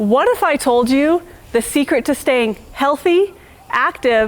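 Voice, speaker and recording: A woman speaks in a high-pitched voice. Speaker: gardening channel host. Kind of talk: channel intro to camera.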